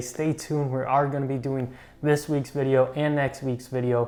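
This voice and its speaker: A man with a medium-pitched voice talks at a moderate pace in a flat, monotone way. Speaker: coin shop employee presenting market updates. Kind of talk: market update video. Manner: casual with filler words.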